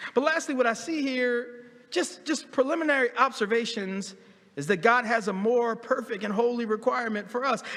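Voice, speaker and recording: A man's extremely high voice with ordinary pitch variation, at a moderate pace, over noticeable background noise. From US Northeast, Philadelphia. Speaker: pastor. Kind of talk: sermon. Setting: church. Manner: animated; repetitive stammering restarts.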